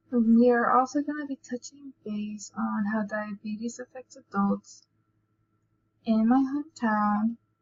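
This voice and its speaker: A woman with an American accent speaks very slowly in a somewhat breathy voice. Her pitch is fairly high and her intonation fairly even. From US South, New Orleans, Louisiana. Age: 20s. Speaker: student. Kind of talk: student presentation.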